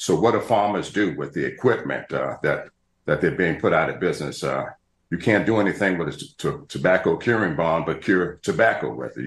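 A man speaks with audible room echo around him. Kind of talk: interview answer. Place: home room. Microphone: video call.

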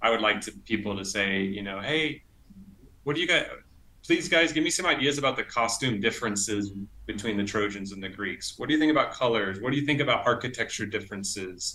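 A man at a fairly quick pace, with lively intonation. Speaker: illustrator; interviewee. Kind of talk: casual interview; interview answer. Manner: hesitant, many fillers. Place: home room. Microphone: earbuds.

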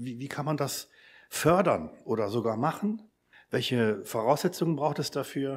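Intonation is lively in a normal speaking voice, delivered at a moderate pace. Everything is very clean, and the background is silent. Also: man. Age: 50s. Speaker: lecturer at a mission academy, lay preacher. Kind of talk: church seminar talk.

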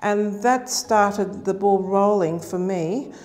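A woman talks with an Australian accent. Her pace is very slow. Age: 60s. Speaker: nursing lecturer and researcher; nursing lecturer. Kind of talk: interview testimony. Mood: calm, earnest. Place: hall. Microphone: lapel.

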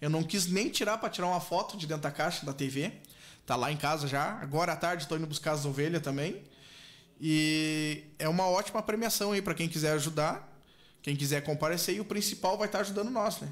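A man speaks at a fairly quick pace, his voice fairly high-pitched with ordinary pitch variation. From southern Brazil, Rio Grande do Sul (Canguçu); Rio Grande do Sul, Brazil. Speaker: charity bingo organizer, patient's husband; guest. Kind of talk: radio interview. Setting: radio studio, streamed live. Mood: earnest, appealing for help. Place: studio. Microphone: studio mic.

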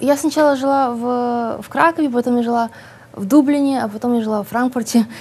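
Her pitch high and her intonation fairly even, a woman speaks at a fairly quick pace. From Odesa, Ukraine. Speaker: writer. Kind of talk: interview. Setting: studio. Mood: relaxed, smiling. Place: studio. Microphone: lapel.

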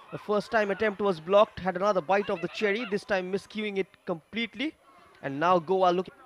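Over noticeable background noise, a man with a high pitch speaks at a fairly quick pace with ordinary pitch variation, the sound dry and close with no echo. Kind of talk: live match commentary. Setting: stadium match broadcast.

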